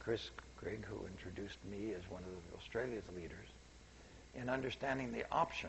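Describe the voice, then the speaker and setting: With an American accent, a man talks at a moderate pace amid audible room echo. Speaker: seminar speaker, scientist. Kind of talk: public lecture. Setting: seminar room with audience. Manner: quiet, soft-spoken; halting, self-correcting.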